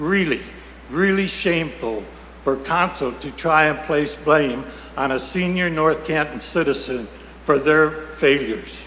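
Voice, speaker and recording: A fairly high-pitched man speaks at a fairly slow pace, with audible room echo and noticeable background noise. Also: ordinary pitch variation. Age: 80s+. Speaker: citizen speaking at public comment, army veteran. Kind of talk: public comment at city council meeting. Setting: city council chamber.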